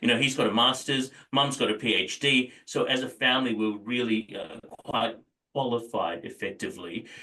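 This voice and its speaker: Speaking with an Australian accent, a man uses a bright, sharp tone at medium pitch. His pace is moderate and his pitch varies in an ordinary way. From Australia, arrived from Dubai as small child in 1990. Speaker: property businessman. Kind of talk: interview. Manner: halting, many fillers.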